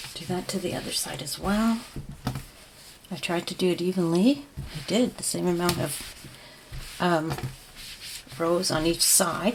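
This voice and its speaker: A woman's fairly low voice at a fairly slow pace, with ordinary pitch variation, long, frequent pauses and noticeable background noise. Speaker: crochet tutorial creator. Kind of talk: tutorial. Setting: at home. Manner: soft-spoken.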